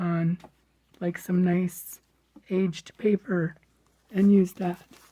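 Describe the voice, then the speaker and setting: A woman speaks in a dark, mellow tone that is somewhat breathy. Her medium-pitched delivery stays monotone and flat. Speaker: crafting vlogger. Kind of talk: casual show-and-tell. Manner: casual, chatty.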